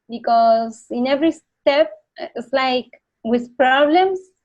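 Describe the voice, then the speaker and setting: A woman with a Spanish accent talks at a fairly slow pace with lively intonation. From Argentina, Buenos Aires. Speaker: motorcycle traveler. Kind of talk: interview. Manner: halting.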